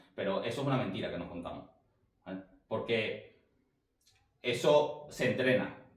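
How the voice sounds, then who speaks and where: At a moderate pace and medium pitch, a man talks with ordinary pitch variation and long, frequent pauses, with audible room echo. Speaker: sales coach. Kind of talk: online class.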